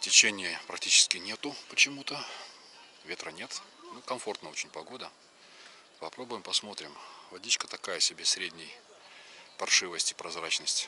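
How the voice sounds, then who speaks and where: A man's fairly low voice at a moderate pace, with long, frequent pauses, big swings in loudness, a dry sound without echo and light background noise. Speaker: angler vlogger. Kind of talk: casual vlog chat. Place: waterside. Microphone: phone near.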